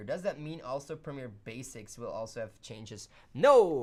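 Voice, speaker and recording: Fairly slow speech from a woman with a Flemish accent. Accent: Flemish Belgian. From Belgium, Flemish part. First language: Dutch (Flemish). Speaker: video editing tutorial host. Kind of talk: live stream chat. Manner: casual, hesitant fillers.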